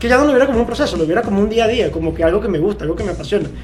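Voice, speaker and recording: A man speaks in a Venezuelan accent. Music plays in the background. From Maturín, Monagas, Venezuela. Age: 20s. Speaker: football coach. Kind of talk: interview answer.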